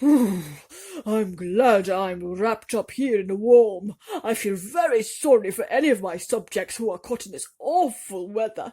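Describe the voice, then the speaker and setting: A female-sounding, put-on character voice runs at a fairly high pitch. The pace is moderate, with hardly any pauses. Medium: read story. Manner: warm, fatherly.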